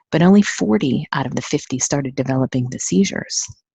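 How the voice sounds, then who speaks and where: A woman with an American accent speaks in an animated tone at a very deep, low pitch, the sound dry and close with no echo. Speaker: neurofeedback training company owner. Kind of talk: webinar presentation. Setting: webinar. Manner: fast.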